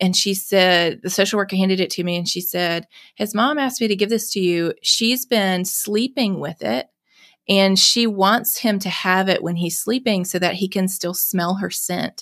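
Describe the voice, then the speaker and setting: Moderate pace and ordinary pitch variation in a Southern US accent, captured in a very clean recording with a silent background. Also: woman, medium pitch for a woman. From US South, Mississippi. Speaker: nonprofit executive director and foster parent. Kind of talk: interview conversation.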